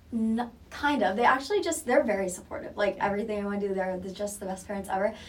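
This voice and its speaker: Speaking very fast with hardly any pauses, a woman has a medium pitch and ordinary pitch variation. Noticeable background noise is present. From Southwest Florida. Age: 20s. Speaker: college student and real estate intern. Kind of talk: casual interview.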